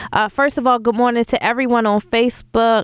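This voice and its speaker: An unremarkable speaking voice with an American accent moves at a moderate pace. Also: woman. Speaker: radio talk show host. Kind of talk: call-in radio talk show. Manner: upbeat, chatty, warm.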